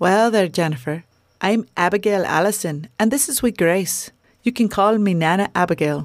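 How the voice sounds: The pitch varies in an ordinary way. It belongs to a natural reading voice.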